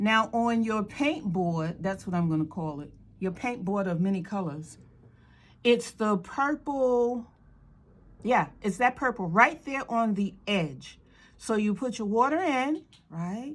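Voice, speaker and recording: This woman speaks with a fairly high pitch, very wide pitch swings and an animated tone. Her pace is fairly slow. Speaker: art instructor. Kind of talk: tutorial.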